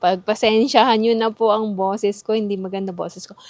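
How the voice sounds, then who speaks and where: An animated tone at a moderate pace. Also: woman. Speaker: vlogger. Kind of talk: casual vlog narration.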